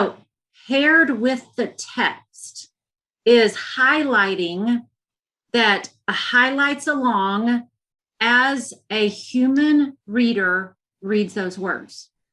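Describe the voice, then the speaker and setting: In a Southern US accent, a woman with a high pitch and a bright, sharp tone talks at a very slow pace, using ordinary pitch variation and long, frequent pauses. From US South. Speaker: education executive. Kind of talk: interview.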